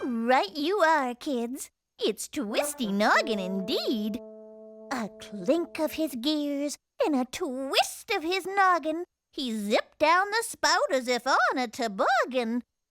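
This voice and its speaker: A cartoonish, high-pitched character voice at a fairly slow pace, faint music in the background. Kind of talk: cartoon holiday rhyme reading. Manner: warm, playful.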